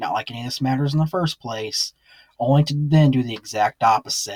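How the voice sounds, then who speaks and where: With an American accent, a man talks at a moderate pace in a somewhat breathy voice, his pitch varying in an ordinary way over a dry, close sound without echo. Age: 20s. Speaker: youtuber. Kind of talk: vlog monologue. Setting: small closet. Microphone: cheap headset.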